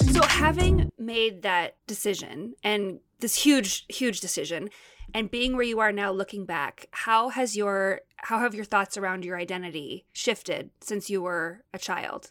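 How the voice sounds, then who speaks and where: A normal speaking voice talks fairly slowly, its pitch varying in an ordinary way, on a very clean recording with a silent background. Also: woman, medium pitch for a woman. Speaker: podcast co-host. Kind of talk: casual interview chat with ad reads.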